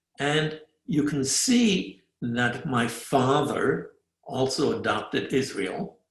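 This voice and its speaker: A man's somewhat breathy, fairly high voice at a very slow pace, very even in loudness, with lively intonation. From Germany, Fürth near Nuremberg; emigrated to the US as a child. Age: 80s. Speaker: Holocaust survivor giving a talk. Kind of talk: presentation with slides.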